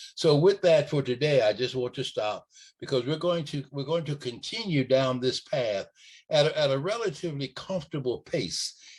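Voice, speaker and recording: There is a quiet background. The speaker sounds somewhat breathy. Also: man. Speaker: podcast host, early childhood educator. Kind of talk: educational podcast talk. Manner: slow, deliberate; hesitant, repeats words.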